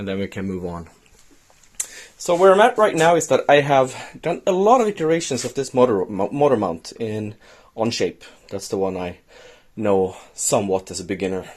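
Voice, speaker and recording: A man with a Swedish accent at a medium pitch and a moderate pace, with very wide pitch swings, big swings in loudness and long, frequent pauses. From Sweden. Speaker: DIY maker, video host. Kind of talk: tutorial. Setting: workshop shed.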